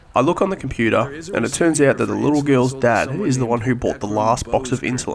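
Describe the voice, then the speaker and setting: Against noticeable background noise, a man rattles along at a very fast pace with hardly any pauses, his medium pitch showing ordinary variation. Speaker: gaming commentary YouTuber. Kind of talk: comedic gameplay voice-over narration.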